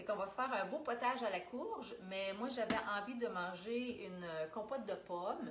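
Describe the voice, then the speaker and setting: A woman at medium pitch, in a Quebec accent, speaks with ordinary pitch variation amid audible room echo and noticeable background noise. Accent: Québécois French. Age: 40s. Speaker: Tupperware sales consultant. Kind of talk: live cooking demonstration. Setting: livestream.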